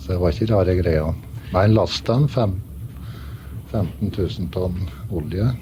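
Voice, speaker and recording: Against noticeable background noise, a man with a northern Norwegian accent speaks at a fairly slow pace in a very deep, low pitch with ordinary pitch variation. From Northern Norway, Velfjord near Brønnøysund. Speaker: ship's first mate. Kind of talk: radio interview.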